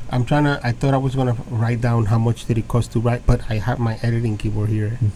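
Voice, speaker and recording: Delivered at a very fast pace in an American accent, the speech has monotone, flat intonation and very even loudness, with noticeable background noise. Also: man, medium pitch for a man. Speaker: movie podcast co-host. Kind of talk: casual chat.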